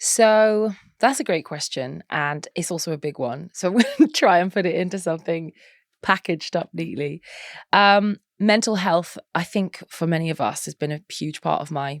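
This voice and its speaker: A woman with a Norfolk accent speaks at a moderate pace in a fairly low pitch, her intonation lively and the sound dry and close with no echo. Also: very clean recording, silent background. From eastern England, Norwich, Norfolk. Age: 30s. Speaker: model and mental health advocate. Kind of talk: podcast interview.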